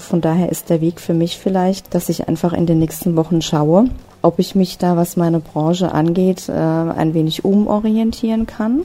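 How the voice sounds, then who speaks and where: Over noticeable background noise, a woman speaks with a fairly low pitch. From Hesse, near Frankfurt am Main. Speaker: travel blogger and freelance online marketer. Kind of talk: interview.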